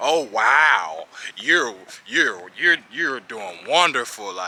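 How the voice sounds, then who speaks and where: Putting on a character voice, a man at a medium pitch speaks very slowly with very wide pitch swings. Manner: dry, sarcastic.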